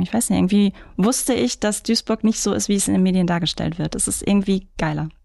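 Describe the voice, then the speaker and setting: A woman speaks at a very fast pace in a dark, mellow tone with ordinary pitch variation. The background is quiet. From Ruhr area, Germany (Mülheim). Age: 30s. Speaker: photographer and marketing manager. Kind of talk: interview.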